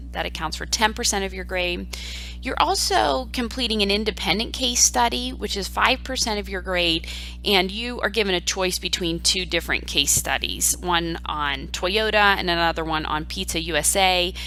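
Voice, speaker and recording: With music in the background and audible room echo, a woman with an Ohio Valley accent talks at a moderate pace. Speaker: university professor. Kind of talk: online course lecture. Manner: conversational, with filler ums.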